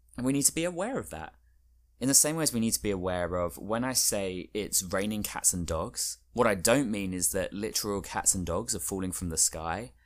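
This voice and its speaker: In a normal speaking voice, a man speaks at a fairly quick pace with a fairly low pitch and lively intonation, captured on a very clean recording with a silent background. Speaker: podcast host. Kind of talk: solo podcast monologue. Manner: friendly, conversational.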